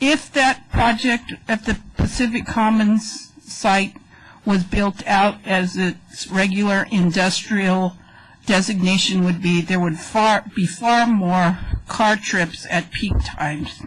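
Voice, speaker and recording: The speech moves at a very slow pace with ordinary pitch variation and very even loudness. Noticeable background noise is present. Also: woman, medium pitch for a woman. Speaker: resident speaking at council meeting. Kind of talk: public comment at council meeting. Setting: council chamber.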